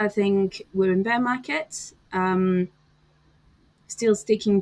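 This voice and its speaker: Speaking with a French accent, a woman keeps a medium pitch and fairly even intonation. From France. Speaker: crypto commentator. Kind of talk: casual chat.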